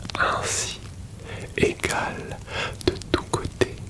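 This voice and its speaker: Whispered speech sits under noticeable background noise. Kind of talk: whispered ASMR philosophy reading to help sleep. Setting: close-mic recording with crackling fire ambience in the background. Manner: whispered, soft, slow, intimate close to the microphone.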